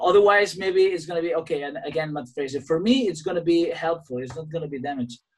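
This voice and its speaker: A man talks at a very fast pace with hardly any pauses. His pitch is high and varies in an ordinary way. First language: Spanish. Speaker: podcast host, gym owner, musician. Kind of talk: interview in second language. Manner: halting.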